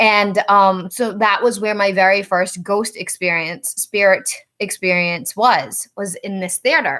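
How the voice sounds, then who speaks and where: A woman speaks in a Rhode Island accent with a bright, sharp tone and ordinary pitch variation. The recording is very clean, with a silent background. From Rhode Island, US. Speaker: psychic medium. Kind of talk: casual storytelling livestream. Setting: outdoors in backyard.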